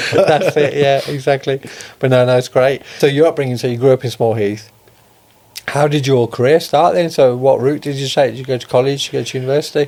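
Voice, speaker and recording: A man's fairly high voice with a Birmingham accent, very fast and fairly even in intonation. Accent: Birmingham (Brummie) English. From Birmingham, England (Solihull). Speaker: podcast host. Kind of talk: podcast interview.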